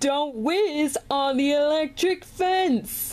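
Someone speaks in a put-on character voice at a very slow pace. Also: woman, high pitch for a woman. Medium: dub. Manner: excited, upbeat.

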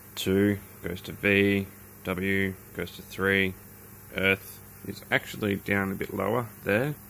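A man with an Australian accent, fairly low and monotone, very slow with long, frequent pauses, over light background noise. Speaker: hobbyist YouTuber. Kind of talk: tutorial. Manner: casual, with fillers. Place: workshop. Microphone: phone near.

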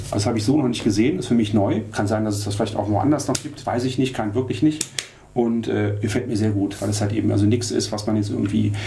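A man at a very fast pace with fairly even intonation, over light background noise. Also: fairly low pitch for a man. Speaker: camera shop product reviewer. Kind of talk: product demo tutorial. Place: studio.

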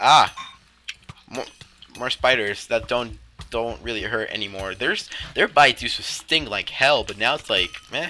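Long, frequent pauses break up a man's speech against noticeable background noise. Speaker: Minecraft roleplay YouTuber. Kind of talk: heated argument in a gameplay roleplay. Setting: gameplay recording with voiceover. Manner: sarcastic, blunt, and quick to snap back; stumbling, repeating words mid-sentence.

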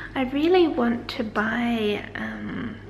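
A woman with an Australian accent talks over light background noise. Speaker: vlogger. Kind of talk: casual vlog chat to camera. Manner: chatty, informal, laughs often. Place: home room. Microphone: phone near.

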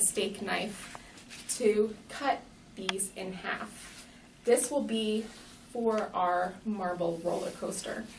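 A woman is heard with audible room echo and light background noise. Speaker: educator. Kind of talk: tutorial. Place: classroom. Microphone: camera far.

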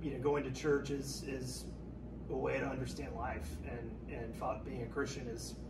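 Speech at a moderate pace over noticeable background noise. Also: man. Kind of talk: interview answer. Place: home room. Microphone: camera far.

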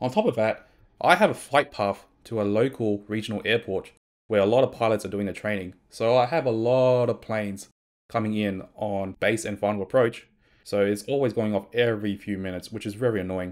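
Over a quiet background, the speech moves at a fairly quick pace with fairly even intonation. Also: man, fairly low pitch for a man. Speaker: streamer. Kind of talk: tech review talk. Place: home room. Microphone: studio mic.

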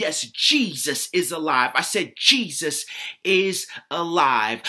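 Against a quiet background, a man with a high voice swings his pitch very widely. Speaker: spoken word poet. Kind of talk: spoken word poetry performance. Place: home room. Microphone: webcam.

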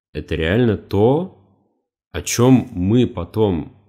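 A man talks in a dark, mellow tone with vocal fry and lively intonation. The recording is very clean, with a silent background. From Russia, Khimki, Moscow region. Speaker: YouTube educational channel author. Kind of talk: solo podcast monologue. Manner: slow, measured.

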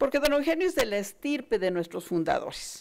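Her voice, a woman's, moves through very wide pitch swings. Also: quiet background. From Mexico. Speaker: university director; speaker. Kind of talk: formal speech. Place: hall. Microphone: podium.

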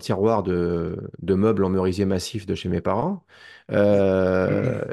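Against a quiet background, a man with a Parisian accent talks fairly slowly in a dark, mellow tone. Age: 50s. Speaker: documentary maker and witness; witness. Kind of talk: testimony. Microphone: video call.

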